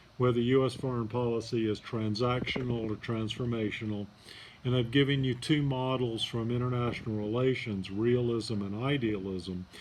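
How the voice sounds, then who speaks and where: Against audible room echo, a man with a medium-pitched voice speaks at a moderate pace with fairly even intonation. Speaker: college professor. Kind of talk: lecture. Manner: soft-spoken; hesitant, many fillers.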